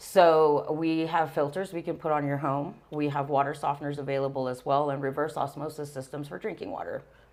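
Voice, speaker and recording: A woman with a Texan accent speaks in a very deep, low pitch with monotone, flat intonation at a fairly quick pace. The recording is very clean, with a silent background. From Texas. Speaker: business manager. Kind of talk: interview.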